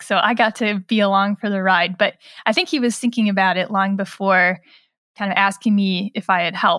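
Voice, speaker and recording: On a very clean recording with a silent background and a dry, close sound with no echo, a woman with an unremarkable speaking voice talks at a moderate pace in a fairly high pitch. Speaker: journalist and author. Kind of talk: interview. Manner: casual, with many fillers.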